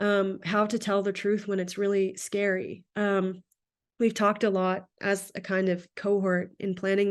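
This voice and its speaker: A woman with an unremarkable speaking voice talks at a medium pitch. Her pace is moderate, and the background is quiet. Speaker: research associate presenting on Sikh teachings. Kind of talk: lecture.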